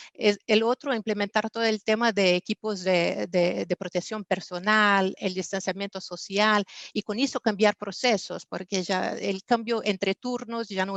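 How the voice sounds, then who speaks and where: A woman in a Portuguese accent speaks at a moderate pace with medium pitch and fairly even intonation. The sound is dry and close, with no echo. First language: Portuguese (speaking Spanish). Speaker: business executive, panelist. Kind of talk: panel discussion. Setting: virtual conference. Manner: hesitant, frequent fillers.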